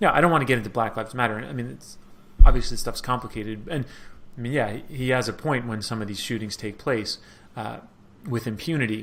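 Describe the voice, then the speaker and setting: The speaker talks at a very fast pace, with big swings in loudness. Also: man, medium pitch for a man, ordinary pitch variation. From New York. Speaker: Middle East analyst. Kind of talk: interview. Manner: casual, many fillers.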